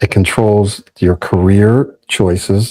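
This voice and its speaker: On a very clean recording with a silent background, a man's fairly low, somewhat breathy voice holds fairly even intonation. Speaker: speech coach. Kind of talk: podcast interview answer. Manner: reflective, personal storytelling.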